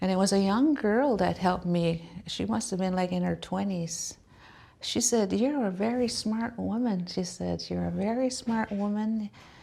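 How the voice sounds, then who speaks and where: A dark, mellow tone in a Maritime Canadian accent, with ordinary pitch variation at a moderate pace. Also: woman, medium pitch for a woman. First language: Mi'kmaq. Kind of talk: personal testimony. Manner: halting, with fillers.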